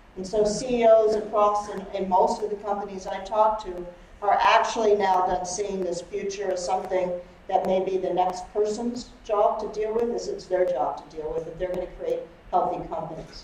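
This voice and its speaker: At a moderate pace and with fairly even intonation, the speech carries audible room echo and light background noise. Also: woman. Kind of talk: lecture. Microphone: camera far.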